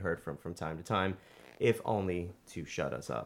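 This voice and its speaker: In a very clean recording with a silent background, a man with a New York accent speaks at a very deep, low pitch. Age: 30s. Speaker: podcast host and independent filmmaker. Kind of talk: casual interview.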